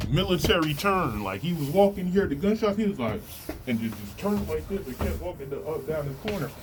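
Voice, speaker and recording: Amid noticeable background noise and audible room echo, a man talks at a fairly quick pace in an animated tone, his fairly high pitch making very wide swings. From New Jersey. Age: 30s. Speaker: testimony vlogger. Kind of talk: testimony. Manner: animated storytelling; casual, filler-heavy.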